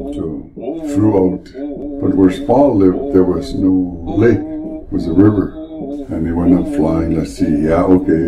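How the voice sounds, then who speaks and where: Over loud background noise, a man's voice makes very wide pitch swings. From Vancouver Island, British Columbia, Canada. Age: old. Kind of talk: elder storytelling, a traditional animal legend retold with dramatic sound effects. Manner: animated and expressive, with sound effects and rhetorical questions to the listener; unhurried and conversational, with hesitations and self-corrections. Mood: calm, gentle. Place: office. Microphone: camera far.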